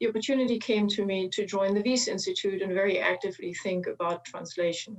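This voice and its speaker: A woman with a German accent speaks at a fairly quick pace. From Germany. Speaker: chemist, translational research leader. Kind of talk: panel opening statement.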